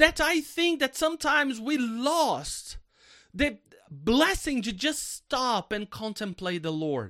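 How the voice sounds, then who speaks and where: A man's raised, projected voice, extremely high in pitch and warm in tone, very slow, with very wide pitch swings, in a very clean recording with a silent background. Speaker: preacher. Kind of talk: sermon to a prayer team, opening with prayer then teaching from scripture. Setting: church prayer meeting, recorded for a podcast. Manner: earnest, warm, pastoral and exhortative; conversational, with rhetorical questions to the listeners.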